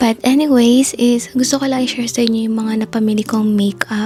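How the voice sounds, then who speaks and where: Against noticeable background noise, the voice moves at a moderate pace with flat, monotone intonation. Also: woman. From Philippines. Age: 20s. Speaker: lifestyle vlogger. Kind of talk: casual vlog, product haul.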